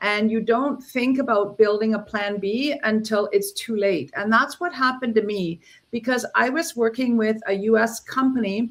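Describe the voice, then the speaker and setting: Speaking at a moderate pace with hardly any pauses, a woman has an unremarkable speaking voice, a fairly high pitch and ordinary pitch variation. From Canada, Ontario. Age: 60s. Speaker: entrepreneur. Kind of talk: interview. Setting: livestream.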